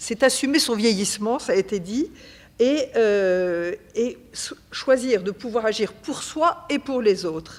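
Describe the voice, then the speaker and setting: A woman talks at a very slow pace, her fairly high pitch rising and falling in lively intonation. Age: 70s. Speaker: association vice-president, retiree. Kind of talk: panel talk at a public session. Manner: hesitant, many fillers.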